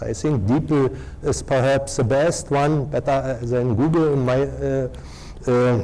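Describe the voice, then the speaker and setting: With fairly even intonation, a man speaks at a very slow pace in a fairly high voice, with audible echo in the room. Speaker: professor and journal editor. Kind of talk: lecture. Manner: halting, many filler sounds.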